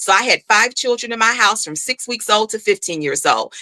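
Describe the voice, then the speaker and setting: Speaking at a fairly quick pace, a woman uses a passionate tone, medium pitch and ordinary pitch variation, recorded dry and close with no echo. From Chicago, US Midwest. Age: 60s. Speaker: school board candidate. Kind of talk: interview.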